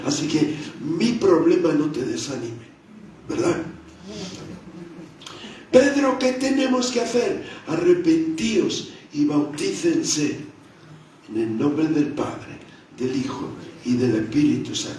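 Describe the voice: In a room with strong echo, a man with a fairly high pitch talks slowly, his slightly mellow tone carrying lively intonation.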